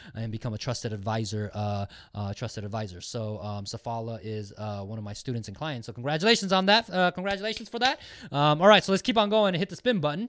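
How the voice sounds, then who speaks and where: Talking at a very fast pace, a man makes very wide pitch swings and big swings in loudness. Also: medium pitch for a man. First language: Japanese. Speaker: online marketing educator, giveaway host. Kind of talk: livestream giveaway, casual chat. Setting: live stream with chat box. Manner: many fillers and hesitations.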